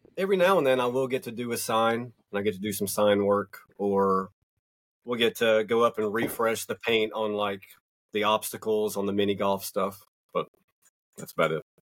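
In a Southern US accent, a man speaks at a fairly low pitch. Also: fairly even intonation, moderate pace, very clean recording, silent background. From US South, North Georgia mountains. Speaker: magazine publisher. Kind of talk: casual chat.

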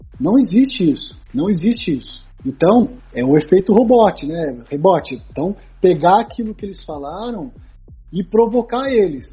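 Over music in the background, a man with a high pitch speaks at a moderate pace with very wide pitch swings and big swings in loudness. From Brazil, Taubaté (São Paulo state). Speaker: sports psychologist. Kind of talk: casual interview chat. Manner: hesitant with repetitions.

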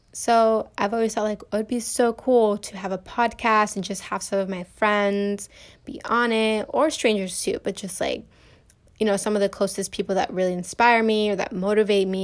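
Against a quiet background, a woman speaks at a medium pitch and moderate pace with fairly even intonation. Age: 20s. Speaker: podcaster, college student. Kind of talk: casual solo podcast monologue. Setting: home recording on bedroom floor. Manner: casual with laughter.

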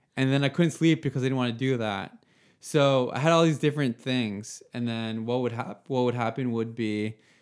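A normal speaking voice from a man, medium in pitch with ordinary pitch variation, at a fairly quick pace on a very clean recording with a silent background. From Nova Scotia, Canada (Yarmouth area). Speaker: app founder talking about anxiety. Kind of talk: casual chat.

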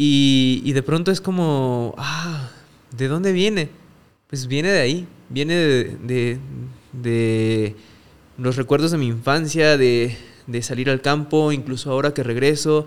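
Pitch moves in an ordinary way, at a fairly slow pace. Long pauses come often. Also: man. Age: 30s. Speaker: photographer. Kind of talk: casual chat.

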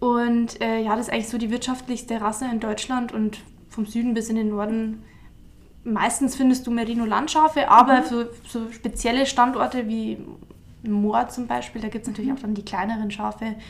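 The speaker has a slight Bavarian accent and a monotone, flat intonation. The pace is moderate. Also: woman, fairly high pitch for a woman. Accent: mild Bavarian. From Bavaria, Altmühltal near Eichstätt. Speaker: shepherd and agricultural graduate. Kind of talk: casual interview.

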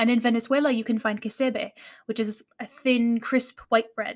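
This is an ordinary speaking voice, recorded with a dry, close sound and no echo. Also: woman. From United States. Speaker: podcast host. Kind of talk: scripted educational podcast narration.

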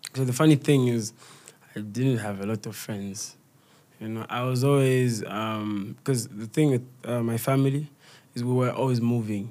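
A man with a dark, mellow tone, medium pitch and a moderate pace. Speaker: comedian and content creator. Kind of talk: casual interview.

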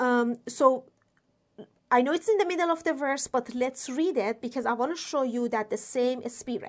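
Speaking at a fairly slow pace, a woman uses a high pitch with ordinary pitch variation. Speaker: Bible teacher. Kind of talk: Bible teaching talk. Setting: solo video recording. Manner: raises voice when excited; halting, many fillers.

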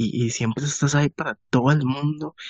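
A man with a Costa Rican accent at a fairly slow pace, medium pitch, and ordinary pitch variation. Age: 20s. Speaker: podcast host. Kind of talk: casual chat.

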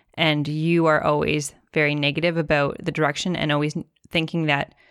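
A woman with a very deep, low pitch is heard on a very clean recording with a silent background. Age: 30s. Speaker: podcast co-host, business owner. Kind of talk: casual chat.

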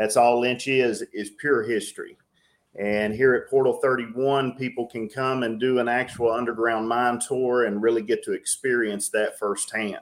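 A man's medium-pitched voice, monotone and flat in intonation, moves at a fairly slow speed. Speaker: coal mine museum operations director. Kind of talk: casual interview.

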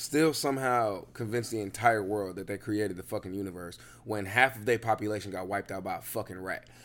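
This man's voice sits fairly low, with ordinary pitch variation and big swings in loudness. He talks at a very fast pace with hardly any pauses. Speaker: podcast co-host. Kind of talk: casual chat.

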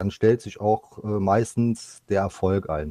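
This man's voice has a dark, mellow tone and a fairly low pitch. His intonation is fairly even, and the sound is dry and close with no echo. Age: 50s. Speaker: esports goalkeeper player. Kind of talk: podcast interview.

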